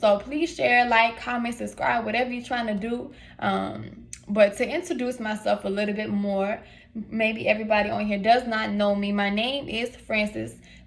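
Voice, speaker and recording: Speaking with an American accent at a moderate pace, a woman uses a fairly high, somewhat breathy voice with ordinary pitch variation. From US South, south side Atlanta, Georgia. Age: 20s. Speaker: vlogger, inspirational speaker. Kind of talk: casual vlog, personal testimony. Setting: hotel room.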